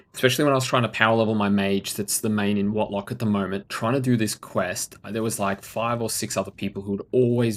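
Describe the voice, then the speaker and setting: The speaker talks at a fairly quick pace in an Australian accent, keeping the intonation fairly even. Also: man. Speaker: video game streamer. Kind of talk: live gameplay stream commentary. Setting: live stream.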